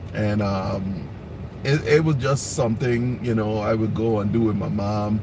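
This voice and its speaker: A man's voice with ordinary pitch variation, noticeable background noise and audible room echo. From US Virgin Islands (St. Thomas). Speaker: home cook channel host. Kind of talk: casual live-stream chat. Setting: live stream. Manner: halting.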